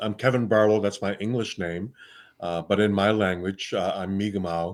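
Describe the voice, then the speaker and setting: Against a silent background in a very clean recording, a man speaks at a fairly low pitch with fairly even intonation. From New Brunswick, Canada. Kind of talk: casual interview chat. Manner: hesitant, many uh fillers.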